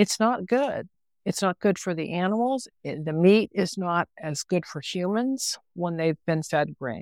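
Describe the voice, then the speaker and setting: A woman with an American accent and an unremarkable speaking voice talks at a medium pitch and fairly slow pace with lively intonation, in a very clean recording with a silent background and a dry, close sound with no echo. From US South, West Virginia. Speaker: filmmaker. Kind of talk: interview.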